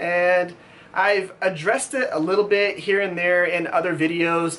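Over light background noise, a man talks at a very slow pace in a high pitch. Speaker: knife maker YouTuber. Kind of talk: casual vlog chat. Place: workshop.

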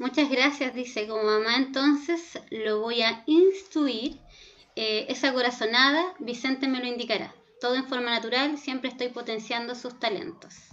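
A woman talks at a fairly slow pace. Her pitch is high, with ordinary variation. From Chile, Concepción. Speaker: pedagogical coordinator moderating questions. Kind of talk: Q&A moderation. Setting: video call.

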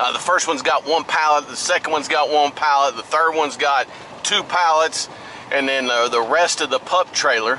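There is light background noise as a man speaks at a moderate pace in a dry sound with no echo. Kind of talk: casual vlog chat. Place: car.

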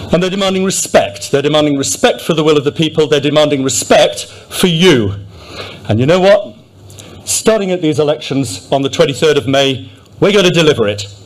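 A man with a Yorkshire accent speaks at a fairly quick pace and fairly high pitch, his intonation lively. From Yorkshire, England. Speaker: businessman and candidate. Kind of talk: political rally speech. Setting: stage with audience. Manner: slightly halting, repeats words. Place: hall. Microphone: podium.

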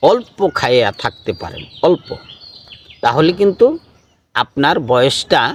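A fairly high male voice with very wide pitch swings, in a dry, close sound with no echo. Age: 50s. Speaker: Sufi spiritual speaker. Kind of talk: question-and-answer talk giving advice.

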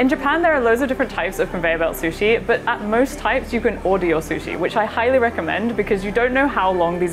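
Over clear background music, a woman talks at a very fast pace. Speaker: guest. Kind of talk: casual explanatory chat. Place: cafe. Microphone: lapel.

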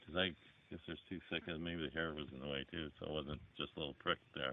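A man speaks at a very deep, low pitch and a fairly quick pace. His intonation is fairly even, and the sound is dry with no echo. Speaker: rural vlogger. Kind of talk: casual vlog chat. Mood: relaxed, chatty. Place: forest. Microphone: phone near.

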